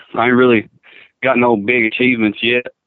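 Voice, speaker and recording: A man speaks with a Kentucky accent at a fairly quick pace. His intonation is monotone and flat. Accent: southern US (Kentucky). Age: 20s. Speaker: bull rider. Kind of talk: phone interview. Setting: phone call.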